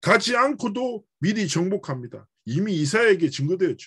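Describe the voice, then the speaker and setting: The speaker has a strong Busan accent and very wide pitch swings. The pace is moderate and the background is quiet. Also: man. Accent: Busan dialect, strong (by his own account). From South Korea, Busan. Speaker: pastor. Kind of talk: sermon. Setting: church cell-group worship.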